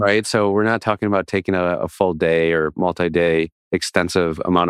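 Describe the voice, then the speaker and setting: A man with a slight Minnesota accent, in a dry, close sound with no echo. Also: very clean recording, silent background. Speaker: podcast co-host. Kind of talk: casual chat.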